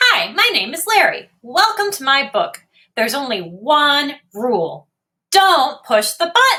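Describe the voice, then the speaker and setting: A woman does a put-on character voice, high-pitched and swinging very widely in pitch. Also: fairly slow pace. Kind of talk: bedtime story. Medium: read story. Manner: playful, chatty.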